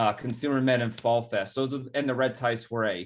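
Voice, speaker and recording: With a Rhode Island accent, a man speaks at medium pitch with fairly even intonation. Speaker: executive director of a nonprofit. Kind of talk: presentation. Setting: webinar video call.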